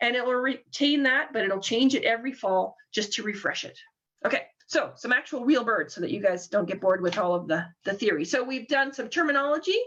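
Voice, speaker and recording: The speaker is a woman with a high-pitched voice. She uses lively intonation. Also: fairly quick pace. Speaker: bird banding program coordinator. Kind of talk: webinar presentation. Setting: online webinar. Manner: fast.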